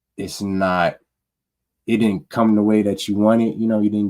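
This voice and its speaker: A man with a fairly low pitch and a dark, mellow tone, at a moderate pace. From Omaha, Nebraska. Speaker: podcast co-host, electrician apprentice. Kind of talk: casual podcast chat. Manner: monotone.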